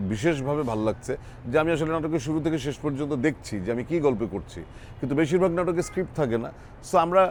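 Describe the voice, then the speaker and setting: Lively intonation and a fairly high pitch mark this man's delivery in a plain, everyday voice. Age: 50s. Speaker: actor. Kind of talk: interview. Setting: drama set.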